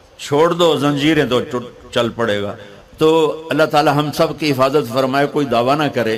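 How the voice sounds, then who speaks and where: A man with an ordinary speaking voice talks at a fairly high pitch with ordinary pitch variation. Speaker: Islamic scholar, preacher. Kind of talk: religious sermon (bayan) to an audience.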